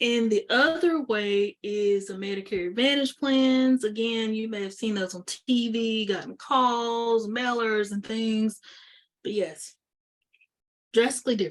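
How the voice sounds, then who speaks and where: Using an unremarkable speaking voice, a woman talks at a fairly slow pace and a fairly high pitch, with ordinary pitch variation. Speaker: insurance agent presenting webinar. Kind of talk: educational webinar presentation. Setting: online webinar.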